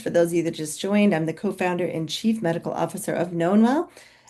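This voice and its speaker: A woman's very fast speech with an American accent, a dark, mellow tone, vocal fry and fairly even intonation. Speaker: physician and company co-founder. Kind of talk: webinar presentation. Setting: video call webinar. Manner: loud.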